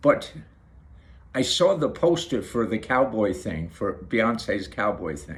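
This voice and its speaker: At a very slow pace, a man speaks in a somewhat breathy voice with very wide pitch swings. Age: 60s. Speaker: video blogger. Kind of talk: casual monologue to camera. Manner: halting, repeats words.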